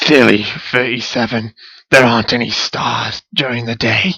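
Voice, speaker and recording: A raspy, put-on character voice moves at a moderate pace with fairly even intonation. The sound is dry and close, without echo. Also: man, medium pitch for a man. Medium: read story. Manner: sardonic, mocking.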